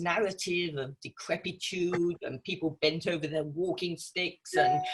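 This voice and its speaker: Somewhat breathy, a woman's voice moves along at a moderate tempo. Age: 60s. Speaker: author. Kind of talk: interview.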